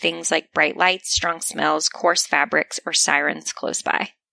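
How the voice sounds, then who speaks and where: At a moderate pace and with hardly any pauses, a woman speaks in a dry, close sound with no echo. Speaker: podcast host. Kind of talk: casual chat. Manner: soft-spoken.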